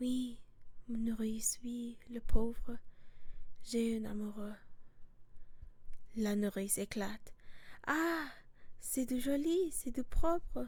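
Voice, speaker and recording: Speaking at a very slow pace, a woman leaves long, frequent pauses. Her pitch is fairly high, with ordinary variation. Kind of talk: whispered ASMR reading of a play in French. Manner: whispered, soft.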